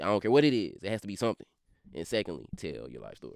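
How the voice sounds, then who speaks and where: A man speaks in a Louisiana accent with a dry, close sound and no echo. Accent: Louisiana Southern drawl. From Baton Rouge, Louisiana. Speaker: rapper. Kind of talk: casual interview. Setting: studio.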